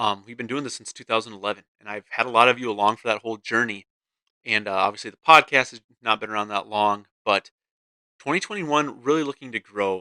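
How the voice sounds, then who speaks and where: In a very clean recording with a silent background and a dry, close sound with no echo, a man speaks at a very fast pace in a bright, sharp tone, with ordinary pitch variation and big swings in loudness. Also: medium pitch for a man. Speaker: podcast host. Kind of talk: casual monologue podcast. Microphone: new USB mic, close to mouth.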